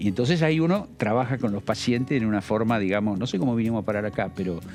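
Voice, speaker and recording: Over music in the background, a man at a medium pitch talks at a very fast pace with ordinary pitch variation. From Buenos Aires, Argentina (Avellaneda). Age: 60s. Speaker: politician and psychiatrist. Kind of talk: interview. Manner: halting, with repetitions.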